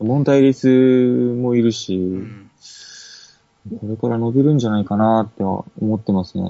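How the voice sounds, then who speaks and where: This is a plain, everyday voice, a man's at medium pitch. He moves at a moderate pace with ordinary pitch variation. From Okinawa, Japan. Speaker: basketball shop employee and fan. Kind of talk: casual chat.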